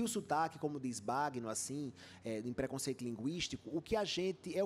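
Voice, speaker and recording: With a Rio Grande do Norte accent, a man talks at a fairly quick pace while his pitch swings very widely. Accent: northeastern Brazilian (potiguar). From Brazil, Rio Grande do Norte (Natal). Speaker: journalist and author. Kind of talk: panel talk at a book festival.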